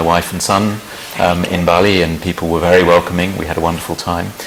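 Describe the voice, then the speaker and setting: With a British accent, a man talks at a very fast pace in a very deep, low pitch and a monotone, flat intonation, amid noticeable background noise. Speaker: ambassador. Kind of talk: interview. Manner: hesitant fillers.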